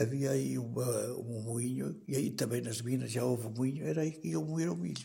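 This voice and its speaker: Somewhat breathy and dark, mellow in tone, a man speaks at a moderate pace and medium pitch with very wide pitch swings. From Portugal, Canas de Senhorim (Viseu). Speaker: retired villager sharing memories. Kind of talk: oral history interview.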